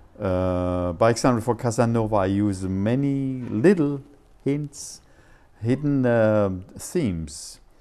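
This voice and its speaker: A man with a German accent, medium pitch, and a dark, mellow tone at a very slow pace. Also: lively intonation. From Germany. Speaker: composer and silent film musician. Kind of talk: interview. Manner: halting.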